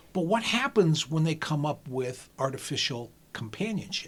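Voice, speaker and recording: Very wide pitch swings in a somewhat breathy voice at a moderate pace. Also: man. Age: 60s. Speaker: stand-up comic and lawyer. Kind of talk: casual chat.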